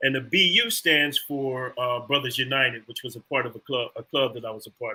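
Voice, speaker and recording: With an American accent, a man uses an ordinary speaking voice at medium pitch, fairly even in intonation but with big swings in loudness. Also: fairly quick pace. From Philadelphia, Pennsylvania. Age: 60s. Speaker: fraternal organization leader. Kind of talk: interview.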